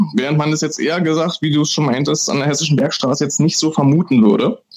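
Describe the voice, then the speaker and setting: Talking very fast, a man uses a fairly high pitch. His pitch varies in an ordinary way. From Brandenburg, Germany. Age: young. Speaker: master distiller. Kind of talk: interview.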